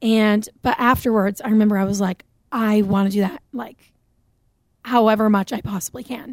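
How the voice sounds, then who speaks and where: With an American accent, a woman speaks at a fairly high pitch and moderate pace. Her intonation is fairly even, and the sound is dry and close with no echo. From New Hampshire, US. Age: 20s. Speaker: singer-songwriter. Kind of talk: casual interview. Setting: radio studio.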